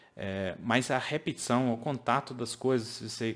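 The speech runs at a fairly slow pace with ordinary pitch variation. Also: man. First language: English (speaking Portuguese). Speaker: English teacher. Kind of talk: online course lesson. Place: home room. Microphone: studio mic.

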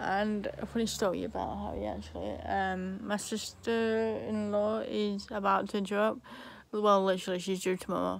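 The voice has an English accent and a moderate pace. The sound is dry with no echo. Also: woman. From England. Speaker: vlogger. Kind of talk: casual chat. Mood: cheerful, chatty. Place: home room. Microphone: phone near.

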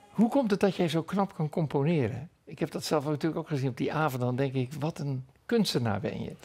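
A man with a fairly high voice talks at a fairly quick pace with lively intonation and hardly any pauses, music playing in the background. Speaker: TV church program interviewer. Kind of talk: interview. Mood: warm, friendly. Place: home room. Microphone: lapel.

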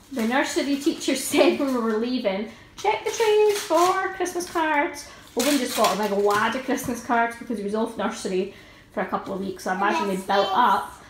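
A woman talks at a high pitch and a fairly quick pace. Noticeable background noise runs under her voice. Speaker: parent vlogger. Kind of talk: casual vlog chat. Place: home room. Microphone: phone near.

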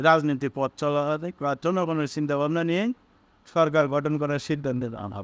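The man has a fairly high pitch and ordinary pitch variation. He speaks in a normal speaking voice. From Bangladesh, Bogura. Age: young. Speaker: political commentator. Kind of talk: political monologue.

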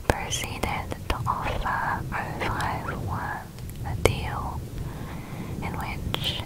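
A soft-spoken woman's whisper, dry with no echo, against loud background noise. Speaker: narrator. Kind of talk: soft-spoken ASMR storytelling. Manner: soft close-mic ASMR whisper. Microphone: studio mic.

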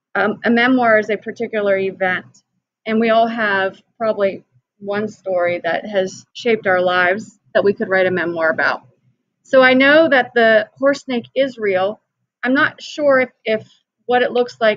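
A woman speaks at a moderate pace with ordinary pitch variation. The sound is dry with no echo, and the background is quiet. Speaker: teacher. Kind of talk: read-aloud lesson with explanation.

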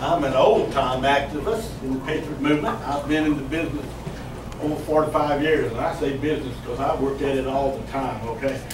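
A man speaks fairly quickly with noticeable background noise behind him. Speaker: speaker. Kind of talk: speech to a group. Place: cafe. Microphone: camera far.

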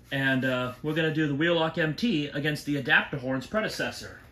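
Over light background noise with audible room echo, a man speaks in a bright, sharp tone with ordinary pitch variation. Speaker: fire alarm collector. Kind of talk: casual talk to camera. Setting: garage. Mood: excited, impressed by loudness. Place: garage. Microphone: phone near.

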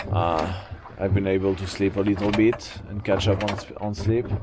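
Over loud background noise, a man's voice comes through with a dry sound and no echo. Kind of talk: casual vlog chat. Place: boat. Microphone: phone near.

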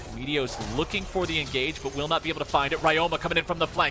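Music plays behind a man who talks at a very fast pace with lively intonation. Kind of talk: esports commentary. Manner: fast, excitable play-by-play; energetic, urgent.

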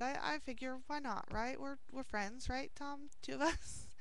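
At a fairly slow pace, a woman speaks in a high voice with a bright, sharp tone, and the sound is dry with no echo. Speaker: video blogger replying to a viewer. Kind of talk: casual vlog chat. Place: office. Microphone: headset.

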